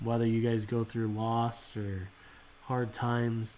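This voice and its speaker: The tone is calm and relaxed. The intonation stays monotone and flat. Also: man. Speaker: card collecting livestream host. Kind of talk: casual livestream chat. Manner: calm, relaxed.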